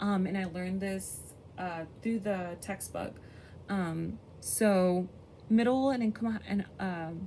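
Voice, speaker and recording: Somewhat breathy, a woman speaks very slowly in a dark, mellow tone. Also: medium pitch for a woman, fairly even intonation. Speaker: education student. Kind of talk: class presentation. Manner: stutter; halting, many fillers.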